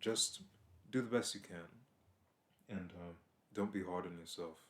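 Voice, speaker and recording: A man's very deep, low voice at a moderate pace, with fairly even intonation but big swings in loudness. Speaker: vlogger. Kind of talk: advice vlog. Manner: monotone; blunt, can sound upset.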